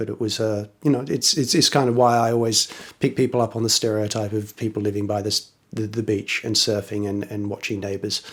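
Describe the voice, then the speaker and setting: With an English accent and fairly even intonation, a man talks at a fairly quick pace in a fairly low pitch. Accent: weird English. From Australia, western suburbs of Sydney. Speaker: electronic instrument maker. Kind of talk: casual interview.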